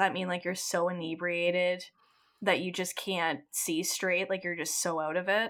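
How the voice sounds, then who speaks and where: A woman with a Canadian accent and an unremarkable speaking voice talks at a medium pitch and a moderate pace. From Ontario, Canada. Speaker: podcast host. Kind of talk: casual chat, game show.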